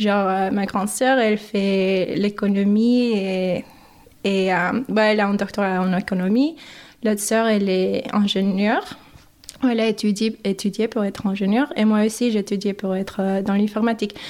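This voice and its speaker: Speaking with an English accent, a woman keeps a moderate pace, medium pitch, very even loudness and fairly even intonation. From Mexico, then US Midwest from age 11. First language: English (speaking French). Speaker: podcast guest. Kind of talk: interview. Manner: halting, many hesitations.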